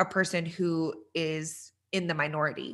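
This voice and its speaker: Against a quiet background, a woman with an American accent talks in a fairly low pitch with a bright, sharp tone. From Texas. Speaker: podcast host. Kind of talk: interview chat. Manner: animated.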